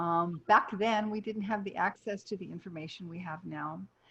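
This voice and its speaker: A woman with a medium pitch talks at a moderate pace, her intonation fairly even. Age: 60s. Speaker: nutritionist and health coach. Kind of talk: casual interview chat.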